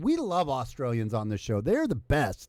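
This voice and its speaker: A man with an American accent speaks in a serious tone at a moderate pace, his pitch swinging very widely, on a very clean recording with a silent background. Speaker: livestream show host. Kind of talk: casual chat. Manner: sarcastic, mock-serious.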